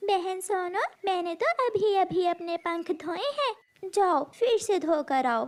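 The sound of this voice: A female-sounding cartoonish character voice pitched extremely high runs at a fairly slow pace with hardly any pauses.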